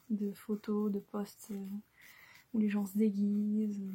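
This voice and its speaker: A woman speaks softly with a somewhat breathy voice. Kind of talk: ASMR soft-spoken chat. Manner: soft-spoken.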